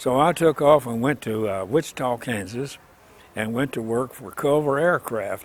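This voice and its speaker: A man speaks with a Southern US accent at a fairly slow pace. His pitch is medium with ordinary variation. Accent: Southern US (Oklahoma). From Oklahoma. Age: 90s. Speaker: World War II veteran. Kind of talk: life story interview answer. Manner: hesitant, with many filler words.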